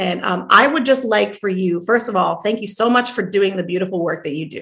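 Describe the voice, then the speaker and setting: A woman with an American accent talks at a fairly quick pace. She has a normal speaking voice, medium pitch and ordinary pitch variation. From US Northeast, New Jersey. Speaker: family medicine doctor and podcast host. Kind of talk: interview podcast.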